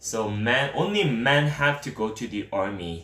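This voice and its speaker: A man speaks very slowly in a Korean accent, his intonation lively. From South Korea. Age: 30s. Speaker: streamer. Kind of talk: live stream Q&A. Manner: halting.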